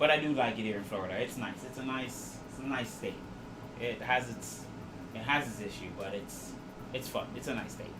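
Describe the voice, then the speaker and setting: A man of medium pitch with a slight Jamaican accent, at a fairly quick pace, with ordinary pitch variation, audible room echo and noticeable background noise. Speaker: 3D printing streamer. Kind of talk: live stream chat. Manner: casual.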